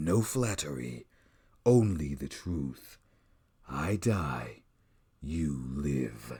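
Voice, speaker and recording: A put-on character voice from a man, pitched very deep and low, very slow, with long, frequent pauses. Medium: read story.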